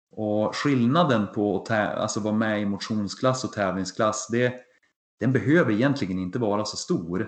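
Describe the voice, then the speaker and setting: A man in a normal speaking voice talks at a moderate pace with a fairly low pitch and ordinary pitch variation. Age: 40s. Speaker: triathlon podcast co-host, amateur triathlete. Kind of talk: casual chat.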